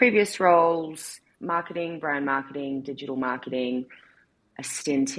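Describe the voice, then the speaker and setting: With an Australian accent, a woman speaks at a moderate pace in a very deep, low voice. Her pitch varies in an ordinary way. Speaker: marketing executive. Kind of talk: interview.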